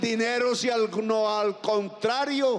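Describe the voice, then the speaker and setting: A man talks at a very slow pace with an extremely high pitch. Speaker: president giving a public speech. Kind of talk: political rally speech. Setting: outdoors, public square.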